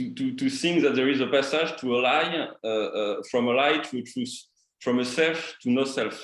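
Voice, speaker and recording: Speaking with a strong French accent, a man uses a fairly high pitch while the room echo is audible. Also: ordinary pitch variation, moderate pace. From France. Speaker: participant in a spiritual meeting. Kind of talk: question in an online group discussion. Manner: halting, many repetitions and fillers.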